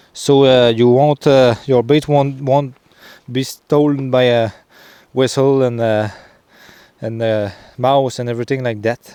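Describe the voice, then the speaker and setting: A man with a Quebec accent, a dark, mellow tone, medium pitch and monotone, flat intonation, at a fairly slow pace with long, frequent pauses. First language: French. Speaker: trapper. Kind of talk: outdoor tutorial vlog. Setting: outdoors in the forest. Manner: halting, many fillers.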